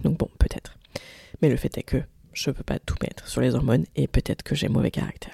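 A woman at a fairly quick pace with long, frequent pauses, in a dry, close sound with no echo. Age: 30s. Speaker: podcaster. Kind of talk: personal monologue. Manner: halting.

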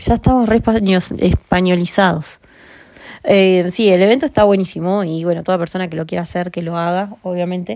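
At a fairly quick pace, a woman speaks at a medium pitch with ordinary pitch variation and a dark, mellow tone. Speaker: podcast host. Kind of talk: casual chat.

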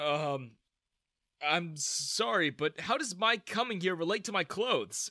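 Using a put-on character voice, a man speaks slowly at a high pitch with a bright, sharp tone and ordinary pitch variation.

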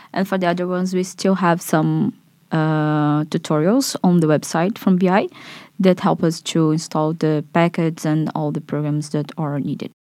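A woman with a Portuguese accent talks at a moderate pace and fairly low pitch with fairly even intonation, on a very clean recording with a silent background. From Brazil. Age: 20s. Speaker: master's student. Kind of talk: casual interview.

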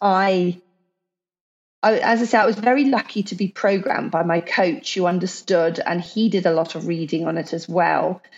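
A woman's plain, everyday voice at medium pitch, moderate pace and lively intonation. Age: 40s. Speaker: CrossFit athlete and entrepreneur. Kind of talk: casual chat.

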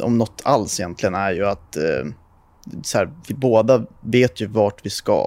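A man talks at a fairly slow pace in a medium pitch. He has an unremarkable speaking voice. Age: 20s. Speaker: car YouTuber. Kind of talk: casual chat.

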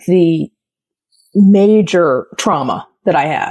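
A woman speaks with an American accent. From US Midwest. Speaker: university professor. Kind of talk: casual chat.

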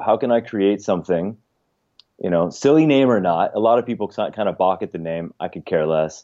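This man has a plain, everyday voice, fairly low in pitch, with ordinary pitch variation and a moderate pace. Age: 40s. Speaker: yoga program founder. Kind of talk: casual interview.

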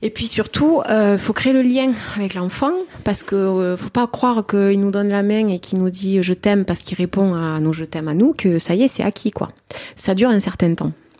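Noticeable background noise behind a woman's voice at medium pitch. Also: ordinary pitch variation, moderate pace. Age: 40s. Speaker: adoptive mother. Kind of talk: interview testimony. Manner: halting.

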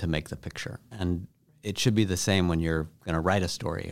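Speaking with an American accent, a man with a very deep, low pitch moves at a fairly quick pace with ordinary pitch variation. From US Midwest (Chicago suburbs, small-town Wisconsin). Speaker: journalist and author. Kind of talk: interview.

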